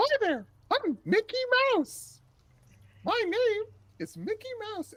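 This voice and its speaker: A put-on character voice comes through at an extremely high pitch. The pace is very slow. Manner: cheerful.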